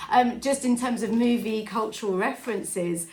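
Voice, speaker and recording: In a room with audible echo and noticeable background noise, a woman speaks at a moderate pace in an animated tone with ordinary pitch variation. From Scotland. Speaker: film podcast co-host. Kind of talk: casual chat.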